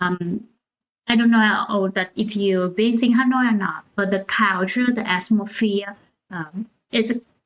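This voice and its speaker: Speaking at a fairly slow pace, a woman with a Vietnamese accent has a fairly high pitch. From central Vietnam, Da Nang. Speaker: founder of a cultural organization, livestream host. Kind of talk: livestream talk. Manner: hesitant, many fillers.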